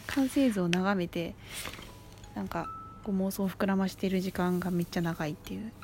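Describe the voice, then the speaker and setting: A woman talks with a medium pitch. Background music plays behind her voice. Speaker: solo podcaster. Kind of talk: casual monologue. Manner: halting.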